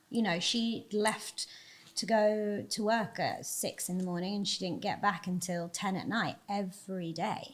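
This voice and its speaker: Somewhat breathy, a woman talks at a moderate pace with a medium pitch and ordinary pitch variation. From England, Devon. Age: 30s. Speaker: agency CEO and podcast host. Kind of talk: interview conversation.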